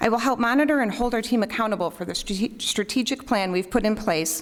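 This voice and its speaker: Speaking very fast with an American accent, a woman uses lively intonation at a medium pitch over noticeable background noise. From US Midwest, Elmhurst, Illinois. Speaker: school board candidate. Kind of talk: candidate forum statement.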